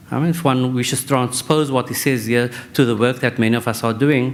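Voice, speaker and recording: A man with a non-native accent speaks at a fairly quick pace in a medium-pitched voice with fairly even intonation. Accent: non-native sounding accent, self-noted. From South Africa, Western Cape. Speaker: professor. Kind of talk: conference talk. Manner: halting.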